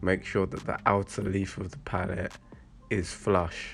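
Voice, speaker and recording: A man's very deep, low voice at a very slow pace, with music in the background. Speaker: vlogger building an allotment shed. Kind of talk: casual vlog tutorial. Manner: halting, many fillers.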